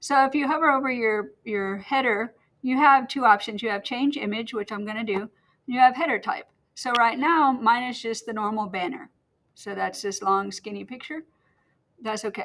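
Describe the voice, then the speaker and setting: This woman has an ordinary speaking voice, fairly high in pitch with ordinary variation, at a moderate pace. Her loudness swings widely. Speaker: teacher. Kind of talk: tutorial. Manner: casual.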